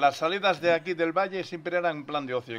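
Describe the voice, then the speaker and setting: The background is quiet as a man rattles along at a very fast pace. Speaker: interviewer, channel host. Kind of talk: interview questions.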